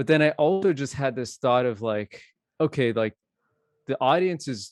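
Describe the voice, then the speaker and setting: A man's plain, everyday voice at a moderate pace with ordinary pitch variation, dry and close with no echo over a quiet background. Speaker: DJ and software engineer. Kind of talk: casual chat.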